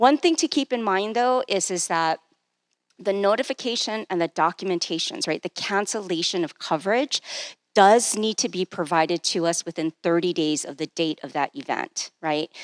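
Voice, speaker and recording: A voice with lively intonation is recorded dry and close with no echo, very clean against a silent background. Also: woman, medium pitch for a woman. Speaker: benefits presenter. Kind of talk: presentation. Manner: fast.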